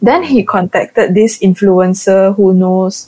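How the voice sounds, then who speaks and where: Heard here is a woman with an ordinary speaking voice and fairly even intonation. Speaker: podcast host. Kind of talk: casual chat. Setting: online recording call.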